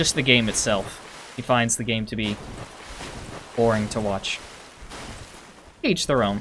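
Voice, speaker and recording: Speaking at a fairly slow pace with long, frequent pauses, a man holds a medium pitch with ordinary variation over noticeable background noise. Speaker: gaming streamer. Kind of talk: live gameplay commentary. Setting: live stream.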